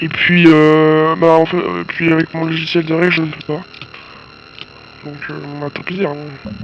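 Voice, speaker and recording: A man with a fairly high pitch talks at a fairly slow pace in a monotone, flat intonation, with long, frequent pauses. His loudness swings widely, and there is noticeable background noise. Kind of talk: casual gameplay commentary.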